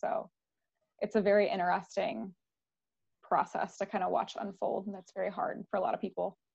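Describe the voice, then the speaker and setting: Her voice is an ordinary speaking voice, medium in pitch. The woman moves at a fairly quick pace. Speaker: podcast host. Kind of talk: casual interview.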